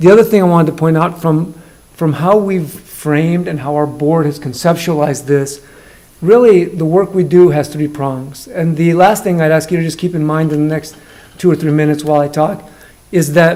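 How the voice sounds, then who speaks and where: Noticeable background noise and audible room echo surround a man whose fairly high voice moves at a moderate pace with fairly even intonation. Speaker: school district superintendent. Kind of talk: presentation at council meeting. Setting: council meeting room. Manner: loud.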